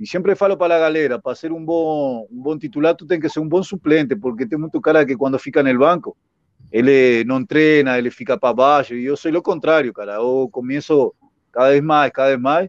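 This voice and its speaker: At a fairly quick pace, a man with a Spanish accent talks at a fairly high pitch with ordinary pitch variation. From Uruguay. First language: Spanish (speaking Portuguese). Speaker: former footballer. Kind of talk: casual interview.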